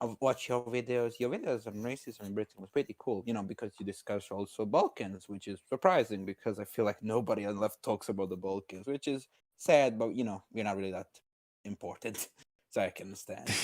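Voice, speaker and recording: With a Croatian accent, a man speaks at a fairly quick pace and fairly low pitch with ordinary pitch variation, the very clean recording dry and close with no echo and a silent background. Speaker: caller debating on stream. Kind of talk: casual debate chat.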